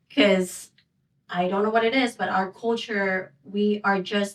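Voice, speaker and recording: A woman with a Filipino accent speaks very slowly, her medium-pitched voice keeping a fairly even intonation. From Philippines. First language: Waray. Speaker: home care coordinator. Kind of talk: interview. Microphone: too far from mic at first.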